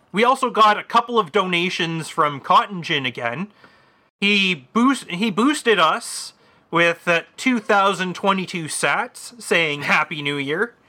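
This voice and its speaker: A man's high-pitched, raised and projected voice, bright and sharp in tone, with lively intonation at a fairly slow pace. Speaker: podcast co-host. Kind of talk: casual banter.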